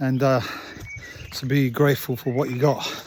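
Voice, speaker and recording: Noticeable background noise sits under a man speaking at a moderate pace. His medium-pitched voice is monotone and flat. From England. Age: old. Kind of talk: casual talk to camera. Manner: rambling, hesitant.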